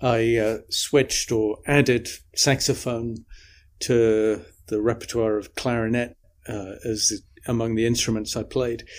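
At a fairly slow pace, a man with an English accent talks at a medium pitch with fairly even intonation. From English Midlands and north of England. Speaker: saxophonist and composer. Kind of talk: interview. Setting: remote call.

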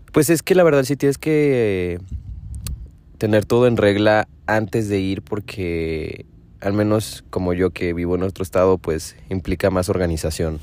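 With lively intonation, a man talks at a fairly slow pace in a fairly low pitch. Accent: Mexican. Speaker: podcaster. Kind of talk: casual monologue. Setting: in a parked car.

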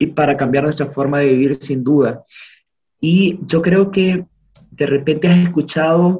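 A man with a fairly high pitch and a dark, mellow tone speaks at a fairly slow pace, somewhat breathy, with fairly even intonation. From Honduras. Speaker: podcast guest. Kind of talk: casual conversation.

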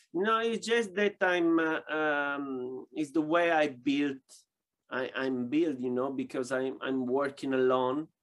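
Very slow male speech, fairly high in pitch, with ordinary pitch variation. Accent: Italian. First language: Italian. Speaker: boxing glove maker. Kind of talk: interview. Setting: video call. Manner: halting.

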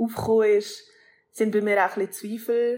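A woman's medium-pitched delivery stays monotone and flat in its intonation. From Switzerland, Basel region. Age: 30s. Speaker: rapper. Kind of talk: casual interview. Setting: video call from Colombia.

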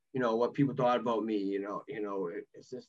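This is a man speaking. He has a strong Boston accent. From Massachusetts, Boston area. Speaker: former college athlete, guest. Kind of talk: casual interview, personal storytelling.

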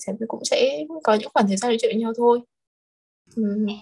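A woman with a fairly high voice speaks at a very fast pace. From Hanoi, northern Vietnam. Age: 20s. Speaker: export company employee. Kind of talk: casual chat.

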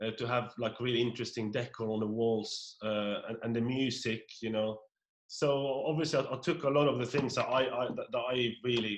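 Speaking with a Norwegian accent, a man keeps a medium pitch, fairly even intonation and a moderate pace. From rural Norway. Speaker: pub owner. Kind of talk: casual interview. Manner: halting, frequent repetitions.

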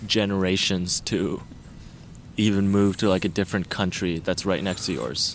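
The man has a fairly low pitch and a normal speaking voice. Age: 20s. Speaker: photographer and engineering student. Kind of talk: casual chat. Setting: outdoors in a park.

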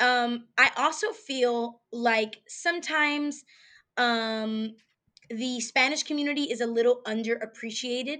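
Against a quiet background, a woman speaks in a high-pitched, raised and projected voice with a bright, sharp tone, sounding animated and using ordinary pitch variation. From New York. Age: 20s. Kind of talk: casual interview.

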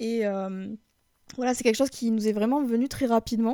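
Dark and mellow in tone, a woman's voice shows ordinary pitch variation. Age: 30s. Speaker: IT worker, coaching client. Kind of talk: interview testimony. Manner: hesitant, filler-heavy.

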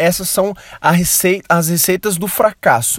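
The speech moves at a fairly slow pace with ordinary pitch variation, and the sound is dry and close with no echo. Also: man. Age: 20s. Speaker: podcast host. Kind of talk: solo podcast monologue about a book. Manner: casual, many filler words and hesitations.

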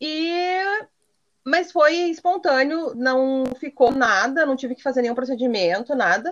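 This woman speaks with a high-pitched voice. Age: 30s. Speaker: entrepreneur and adoptive mother. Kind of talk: casual interview.

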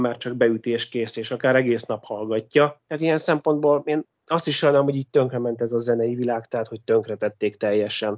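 A man speaks in an ordinary speaking voice. His pace is fairly quick and his intonation fairly even. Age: 40s. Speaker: music composer. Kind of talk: interview.

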